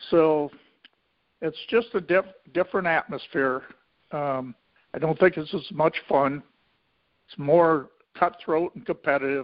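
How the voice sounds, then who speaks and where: With a Midwestern American accent, a man speaks at a fairly slow pace and fairly high pitch, with ordinary pitch variation, big swings in loudness and long, frequent pauses. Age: 70s. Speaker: racehorse owner, retired businessman. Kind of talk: interview.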